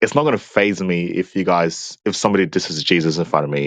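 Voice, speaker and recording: A man with an Australian accent, very deep and low in pitch with ordinary variation, very fast, dry and close with no echo. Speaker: debate opponent. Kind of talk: debate.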